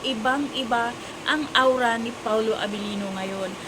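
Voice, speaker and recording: A woman with a high-pitched voice talks loudly with ordinary pitch variation, her words carrying audible room echo over noticeable background noise. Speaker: vlogger. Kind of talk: casual showbiz chat vlog. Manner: loud, raising voice over rain.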